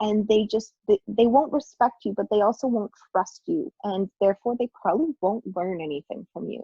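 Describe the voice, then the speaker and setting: A somewhat breathy voice with a Western Canadian accent, lively intonation and hardly any pauses. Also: woman, fairly high pitch for a woman, moderate pace. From Lower Mainland, British Columbia, Canada. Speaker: teacher. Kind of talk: Q&A advice talk.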